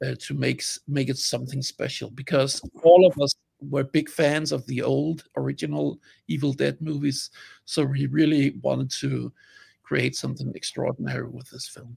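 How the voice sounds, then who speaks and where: Against a quiet background, a man with a Danish accent speaks at a moderate pace, his loudness swinging widely. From Denmark. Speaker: film sound designer. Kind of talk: interview. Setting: video call. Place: home room. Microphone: video call.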